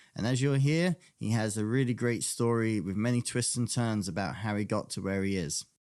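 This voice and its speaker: A man with a slight English accent, medium pitch and ordinary pitch variation, at a fairly quick pace with hardly any pauses. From England (London). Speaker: podcast host. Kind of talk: interview podcast.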